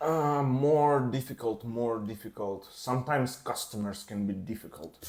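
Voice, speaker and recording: Speaking in a Russian accent, a man keeps a moderate pace with ordinary pitch variation. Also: medium pitch for a man. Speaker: tattoo artist. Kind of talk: casual interview. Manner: halting.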